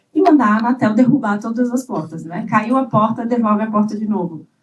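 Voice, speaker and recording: A woman talks at a moderate pace. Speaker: government digital rights official. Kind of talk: conference panel talk. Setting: conference panel with audience.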